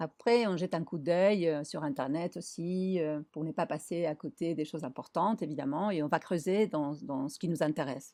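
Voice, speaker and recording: Speaking at a moderate pace with a Spanish accent, a woman uses a fairly low pitch and ordinary pitch variation against a quiet background. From Argentina, Buenos Aires. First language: Spanish (speaking French). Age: 50s. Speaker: designer and traveller. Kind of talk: interview.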